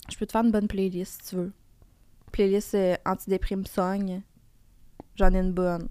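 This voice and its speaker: A woman of medium pitch speaks at a moderate pace in a monotone, flat delivery with a dark, mellow tone, long, frequent pauses and big swings in loudness. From Quebec. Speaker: TV host and content creator. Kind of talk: casual chat.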